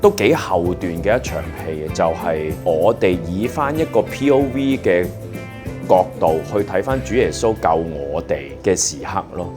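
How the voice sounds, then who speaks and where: A man with a very deep, low pitch and very wide pitch swings, music in the background. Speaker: voice actor. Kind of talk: interview answer. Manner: casual, reflective.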